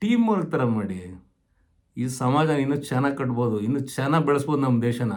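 With audible room echo behind him, a man speaks in a fairly high pitch with lively intonation. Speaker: retired government employee giving career advice. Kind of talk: informal advisory talk to camera.

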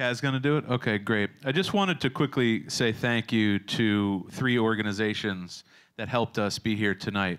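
A normal speaking voice with ordinary pitch variation, on a very clean recording with a silent background. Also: man, medium pitch for a man, moderate pace. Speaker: event host and master of ceremonies. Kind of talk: emceeing a live ceremony. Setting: stage with audience.

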